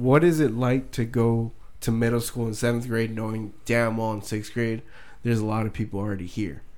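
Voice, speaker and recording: A man is speaking. He has an unremarkable speaking voice. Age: 20s. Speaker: podcast co-host. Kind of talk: casual chat.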